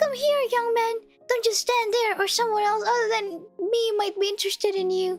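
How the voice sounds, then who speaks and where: Faint music plays behind a woman doing a put-on character voice at an extremely high pitch. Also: moderate pace. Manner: menacing, luring.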